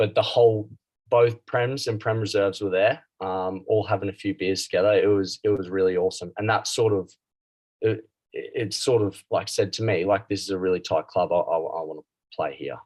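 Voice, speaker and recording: A man talks at a moderate pace with an Australian accent. The background is quiet. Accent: Australian, noticeable. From Australia, Brisbane. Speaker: club rugby player. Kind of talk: interview. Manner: halting, many fillers.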